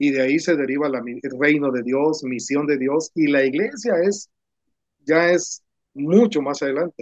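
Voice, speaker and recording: In a dry, close sound with no echo, a man with a normal speaking voice talks at a fairly slow pace and fairly high pitch, with ordinary pitch variation. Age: 60s. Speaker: pastor and ministry founder. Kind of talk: casual conversation about church ministry.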